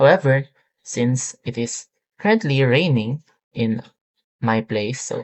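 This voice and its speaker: The speaker has a non-native accent and talks at a very slow pace. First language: not English. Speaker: student demonstrating a software project. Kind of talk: software tutorial demo. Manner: halting, many fillers.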